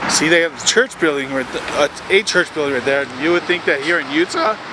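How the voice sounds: A man talks at a fairly quick pace with lively intonation and a fairly high pitch. Background noise is clearly audible.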